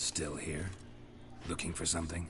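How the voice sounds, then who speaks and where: A man does a put-on character voice in a deadpan tone at a moderate pace, with loud background noise behind him. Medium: video game. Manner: terse, dry, deadpan.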